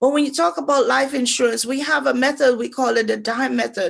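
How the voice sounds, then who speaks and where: Over a quiet background, a woman with a Jamaican accent and a high voice speaks at a moderate pace. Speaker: financial advisor. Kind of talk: financial workshop presentation.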